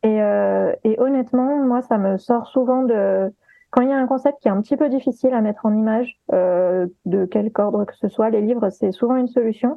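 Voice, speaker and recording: Here is a woman with a normal speaking voice at a fairly high pitch. Her pitch variation is ordinary. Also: moderate pace. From partly Guadeloupe. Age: 30s. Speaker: sensitivity reader and gender stereotypes influencer. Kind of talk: interview.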